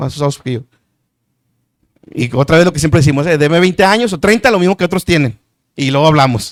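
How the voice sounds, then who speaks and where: Vocal fry runs through lively, fairly quick speech recorded with a dry, close sound and no echo. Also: man. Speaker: preacher and Bible teacher. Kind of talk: sermon-style Bible teaching. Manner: fast.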